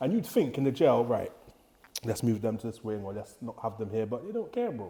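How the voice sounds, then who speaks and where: The speaker is a man with a London accent. His pitch sits in the medium range. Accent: London multicultural English. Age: 30s. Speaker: former prison officer. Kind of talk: casual podcast interview.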